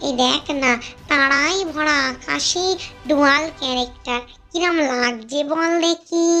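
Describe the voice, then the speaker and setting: A cartoonish character voice speaks at a high pitch and a very slow pace. Clear music plays in the background. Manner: boastful, addresses listener familiarly.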